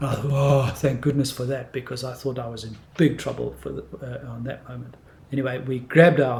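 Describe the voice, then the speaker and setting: Somewhat breathy and monotone, with flat intonation, a man talks at a fairly quick pace amid audible room echo. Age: 60s. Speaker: martial arts teacher. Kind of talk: storytelling.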